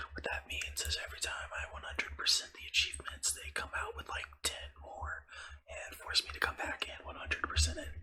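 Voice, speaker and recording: Over noticeable background noise, a man whispers at a fairly quick pace, his loudness swinging a lot. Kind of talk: ASMR gaming ramble. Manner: whispered; rambling, casual.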